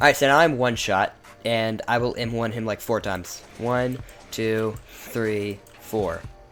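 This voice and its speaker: Over music in the background, a man speaks at a fairly slow pace and medium pitch with fairly even intonation. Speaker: gaming video creator. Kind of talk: gameplay showcase commentary. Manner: halting, many fillers and restarts; casual.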